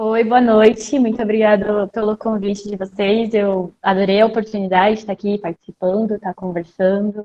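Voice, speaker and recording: A woman speaks at a moderate pace with hardly any pauses, her intonation flat and monotone. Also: medium pitch for a woman. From southern Brazil, Joinville. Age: 20s. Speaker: medical student. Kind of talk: live-stream interview.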